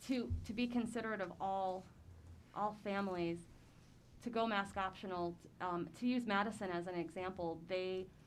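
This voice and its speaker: At a moderate pace and medium pitch, a woman with an American accent speaks with ordinary pitch variation and long, frequent pauses, with audible room echo. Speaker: school board member. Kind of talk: public board meeting discussion. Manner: hesitant, filler-heavy.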